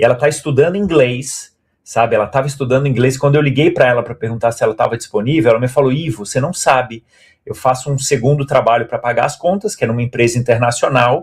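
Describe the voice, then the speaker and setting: Very fast and somewhat breathy, a man speaks at a medium pitch. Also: ordinary pitch variation. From Brazil. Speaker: stage actor. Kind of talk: interview.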